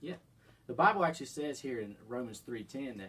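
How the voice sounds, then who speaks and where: A man talks in a plain, everyday voice at medium pitch and a moderate pace. His pitch varies in an ordinary way. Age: 20s. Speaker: biology student, podcast co-host. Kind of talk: casual Bible discussion.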